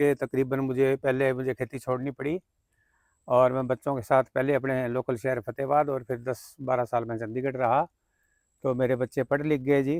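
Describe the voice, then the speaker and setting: The sound is dry and close with no echo, the intonation monotone and flat, and the recording very clean with a silent background. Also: man. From Haryana, Fatehabad district (Punjab border). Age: 60s. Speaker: farmer and civil engineer. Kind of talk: interview.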